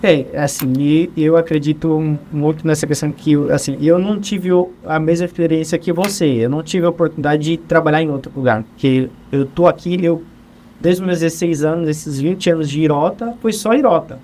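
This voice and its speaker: A man with an unremarkable speaking voice, fairly high in pitch, with ordinary pitch variation and a moderate pace. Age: 30s. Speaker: HR supervisor. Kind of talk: interview conversation.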